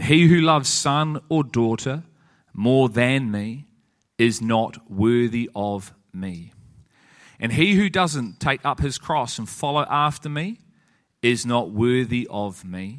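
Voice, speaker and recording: A man speaks at a very slow pace in a medium pitch. His intonation is lively. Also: quiet background. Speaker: church teacher leading a group. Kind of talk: sermon-style teaching in a group discussion. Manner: earnest, preaching.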